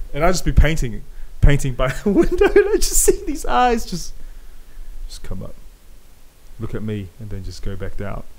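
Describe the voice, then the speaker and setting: A man with a New Zealand accent at a moderate pace, with big swings in loudness, long and frequent pauses, and audible room echo. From New Zealand, South Auckland. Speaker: podcast host. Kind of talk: casual chat. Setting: home garage. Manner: animated.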